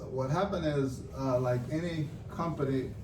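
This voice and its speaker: A man talks fairly slowly at a medium pitch. There is audible room echo and noticeable background noise. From Nicaragua. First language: Spanish. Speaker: businessman. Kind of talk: interview podcast. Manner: many fillers and hesitations.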